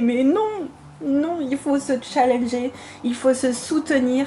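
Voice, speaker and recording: Over noticeable background noise, a woman speaks very slowly in a high pitch. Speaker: coloring channel host. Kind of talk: casual video talk. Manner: hesitant.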